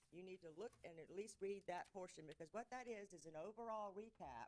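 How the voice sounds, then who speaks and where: With a Mississippi accent, a woman speaks using lively intonation. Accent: Southern US (Mississippi). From US South. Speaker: auditor. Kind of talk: presentation to city council. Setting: council chamber meeting. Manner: fast.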